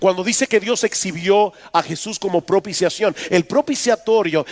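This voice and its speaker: The sound is dry and close with no echo. A man with a high pitch speaks at a moderate pace, with ordinary pitch variation. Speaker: pastor. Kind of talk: sermon.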